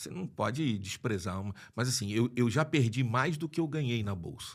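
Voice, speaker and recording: On a very clean recording with a silent background, a man at medium pitch talks at a moderate pace with lively intonation. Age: 60s. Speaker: lawyer and property investor. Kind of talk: podcast interview. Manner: halting, many restarts.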